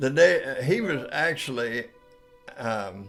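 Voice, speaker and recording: A man's medium-pitched voice is heard with music playing behind it. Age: 80s+. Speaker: storyteller. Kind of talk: personal anecdote storytelling. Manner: casual, folksy.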